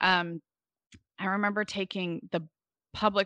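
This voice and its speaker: With a Californian accent, the voice sounds bright and sharp at a moderate pace, the sound dry and close with no echo over a quiet background. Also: woman. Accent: Californian American. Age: 40s. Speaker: podcaster and podcast producer. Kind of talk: interview conversation.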